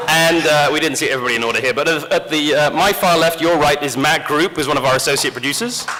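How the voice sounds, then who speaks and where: Very fast speech in a British accent with hardly any pauses, audible room echo and noticeable background noise. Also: man, fairly high pitch for a man, ordinary pitch variation. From rural England. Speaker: game company community director and panel moderator. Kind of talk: convention panel presentation. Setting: stage with audience. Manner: lively, joking.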